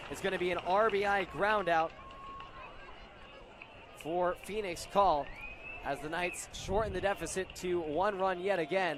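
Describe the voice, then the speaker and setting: Through noticeable background noise, a high-pitched man speaks at a fairly slow pace with long, frequent pauses and fairly even intonation. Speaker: baseball play-by-play broadcaster. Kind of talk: live baseball play-by-play commentary.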